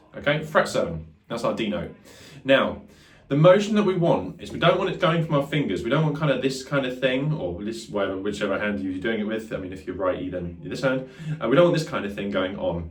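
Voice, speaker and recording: Very wide pitch swings at a fairly quick pace, with audible room echo. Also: man, medium pitch for a man. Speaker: guitar teacher. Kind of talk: tutorial. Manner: fast; casual, filler-heavy.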